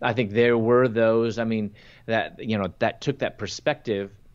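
A plain, everyday voice speaks with an American accent at a fairly slow pace. The intonation stays fairly even over a quiet background. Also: man. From US Midwest, Chicago. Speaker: Bible teacher and speaker. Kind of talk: interview with personal testimony.

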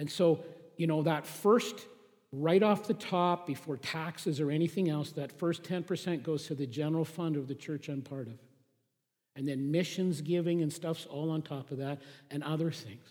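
With an ordinary speaking voice, a man talks at a moderate pace and a fairly high pitch. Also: ordinary pitch variation. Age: 50s. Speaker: pastor. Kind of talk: sermon.

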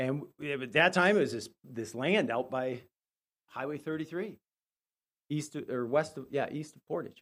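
A man's fairly high voice at a moderate pace, with ordinary pitch variation, long, frequent pauses and big swings in loudness. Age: 50s. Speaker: lay preacher filling in for pastor. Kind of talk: sermon.

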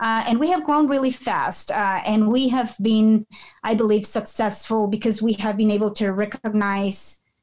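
At a moderate pace, a woman with a Spanish accent speaks at a fairly high pitch, her pitch varying an ordinary amount and her loudness very even. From Peru. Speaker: nonprofit founder and executive director. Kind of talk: casual interview.

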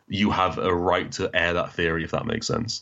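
Speaking in a northern English accent, a man talks at a very fast pace. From northern England (Doncaster, Newcastle). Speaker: comics analysis YouTuber. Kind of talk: casual interview.

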